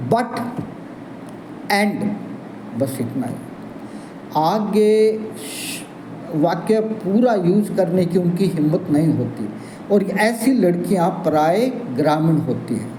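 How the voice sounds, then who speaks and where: Over noticeable background noise and audible room echo, a man speaks in a high pitch with lively intonation and long, frequent pauses. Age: 70s. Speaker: English teacher. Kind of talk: channel introduction talk to viewers.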